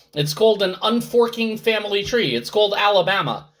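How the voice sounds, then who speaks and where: Loud and high-pitched, a man speaks at a moderate pace. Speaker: Torah teacher. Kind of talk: online class.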